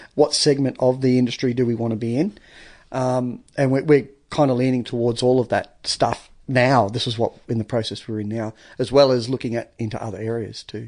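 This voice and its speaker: Over a quiet background, a man with an Australian accent speaks at a medium pitch with fairly even intonation. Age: 40s. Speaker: painter and trade business owner. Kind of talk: casual chat. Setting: studio.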